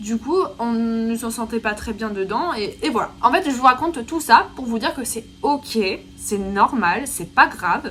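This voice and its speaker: A woman with an ordinary speaking voice talks at a fairly slow pace and fairly high pitch, with lively intonation and big swings in loudness. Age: 20s. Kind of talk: casual vlog. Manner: casual, filler-heavy.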